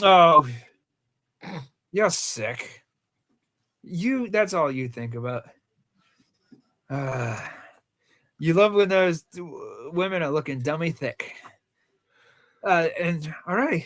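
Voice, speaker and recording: Speaking at a very slow pace with long, frequent pauses, a man with a Rhode Island accent has a high pitch and very wide pitch swings. The recording is very clean with a silent background. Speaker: movie podcast co-host. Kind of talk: casual chat.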